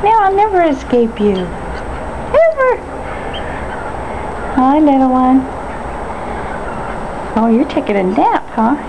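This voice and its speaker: Over noticeable background noise, the speech goes at a very slow pace with long, frequent pauses. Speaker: homeowner feeding ducks. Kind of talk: casual talk to animals while filming. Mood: playful, affectionate. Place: garden. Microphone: phone near.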